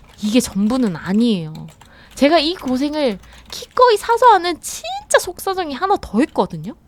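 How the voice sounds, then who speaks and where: A woman's voice with very wide pitch swings at a moderate pace, over noticeable background noise. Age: 30s. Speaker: workwear shop worker. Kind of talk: vlog narration.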